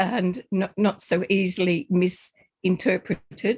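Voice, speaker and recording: In an Australian accent, a woman speaks very slowly with fairly even intonation, the sound dry and close with no echo. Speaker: presenter, lecturer. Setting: lecture or presentation with slides. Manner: tries to speak slowly.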